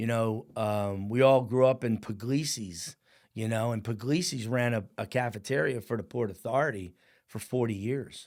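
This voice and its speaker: A man with a New Jersey accent, a medium pitch and ordinary pitch variation. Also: moderate pace. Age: 60s. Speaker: firefighter and business owner. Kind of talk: podcast interview storytelling. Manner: animated.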